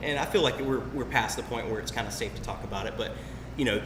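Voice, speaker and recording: Very fast speech from a man, amid noticeable background noise and audible room echo. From US South, Albany, Georgia. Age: 30s. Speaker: tattoo artist. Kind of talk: casual chat. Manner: relaxed, filler-heavy.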